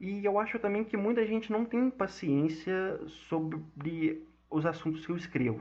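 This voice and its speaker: A man speaking at a fairly slow pace. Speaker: podcast host and gaming news writer. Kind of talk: casual monologue podcast. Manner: halting, many fillers and repetitions.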